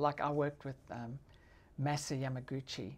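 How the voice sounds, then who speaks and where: Noticeable background noise sits behind a woman whose voice is very deep and low in pitch. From South Africa. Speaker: film director. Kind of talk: interview answer. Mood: warm, enthusiastic. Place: studio. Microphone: lapel.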